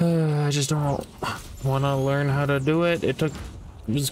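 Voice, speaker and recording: There is noticeable background noise as a man speaks at a moderate pace in a fairly high pitch. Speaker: gaming youtuber. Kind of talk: gameplay commentary. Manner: slurring words; deadpan.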